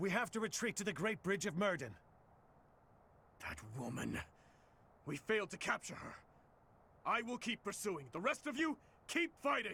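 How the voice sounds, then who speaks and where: Using a put-on character voice, a man speaks at a high pitch for a man in a raised, projected voice, at a moderate pace with long, frequent pauses. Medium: video game.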